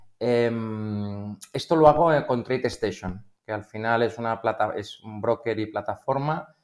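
A man's plain, everyday voice, fairly low in pitch, with ordinary pitch variation. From Spain, Barcelona. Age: 50s. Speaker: algorithmic trader. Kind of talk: casual interview.

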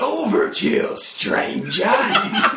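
A man puts on a raspy character voice. There is slight echo. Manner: dramatic, announcer-like.

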